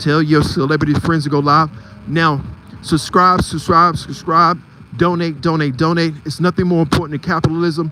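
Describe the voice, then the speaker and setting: Speaking in a normal speaking voice with an American accent, a man talks at a moderate pace, his fairly high pitch carrying fairly even intonation. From Philadelphia, US. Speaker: live streamer and photography channel host. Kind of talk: live stream commentary. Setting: outdoors on a street at night.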